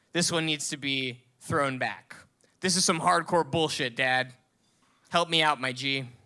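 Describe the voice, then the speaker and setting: Speaking in a plain, everyday voice, a man talks at a fairly slow pace with a fairly high pitch and fairly even intonation, in a very clean recording with a silent background. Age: 20s. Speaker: storyteller. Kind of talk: storytelling. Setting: stage with audience.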